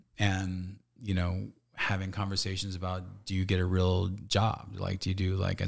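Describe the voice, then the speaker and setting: This somewhat breathy voice moves at a moderate pace with an American accent. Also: man. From Northern California. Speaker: actor, director and relationship coach. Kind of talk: casual interview chat.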